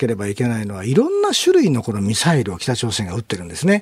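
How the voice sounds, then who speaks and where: A man's somewhat breathy, medium-pitched voice at a very fast pace. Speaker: military journalist. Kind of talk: radio interview.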